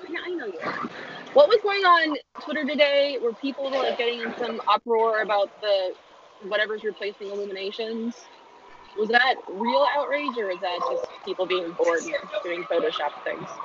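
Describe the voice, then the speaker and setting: Fairly high female voice with very wide pitch swings, a moderate pace and noticeable background noise. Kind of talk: casual chat. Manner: wry, chatty.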